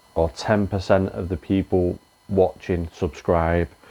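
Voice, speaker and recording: A very slow, very deep and low male voice with fairly even intonation. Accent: English. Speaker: reseller YouTuber. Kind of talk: casual vlog outro. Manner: filler-heavy casual.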